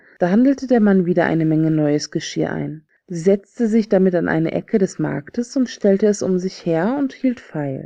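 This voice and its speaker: Speaking with an ordinary speaking voice, a woman at medium pitch keeps a moderate pace with lively intonation and hardly any pauses. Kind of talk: fairy tale audiobook reading. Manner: calm, soothing.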